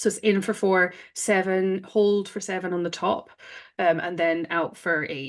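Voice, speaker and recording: A woman with a Scottish accent talks in a fairly low pitch with ordinary pitch variation. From Scotland. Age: 30s. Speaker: breathwork facilitator. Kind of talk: interview.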